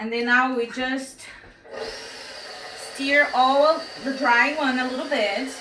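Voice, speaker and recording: A woman speaks in a high, raised and projected voice with a non-native accent, her intonation fairly even. She talks very slowly with long, frequent pauses, amid audible room echo and noticeable background noise. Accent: foreign accent, noticeable. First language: not English. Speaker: home cooking instructor. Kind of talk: cooking tutorial. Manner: halting, filler-heavy.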